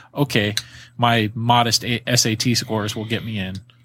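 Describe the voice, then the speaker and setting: On a very clean recording with a silent background, a man with an American accent talks in a fairly low pitch and a monotone, flat intonation. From Florida and Virginia. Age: 30s. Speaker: reptile breeder, podcaster. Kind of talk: casual chat.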